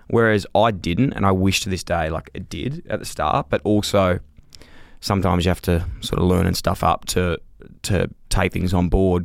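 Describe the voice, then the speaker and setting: With an Australian accent, a man speaks in a very deep, low pitch on a very clean recording with a silent background. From Australia, Melbourne. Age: 30s. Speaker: former professional footballer, podcaster. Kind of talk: casual chat.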